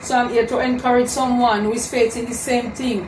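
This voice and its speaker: A high-pitched woman's voice amid noticeable background noise. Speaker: vlogger giving encouragement. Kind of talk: casual vlog chat, motivational. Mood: earnest, encouraging. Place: home room.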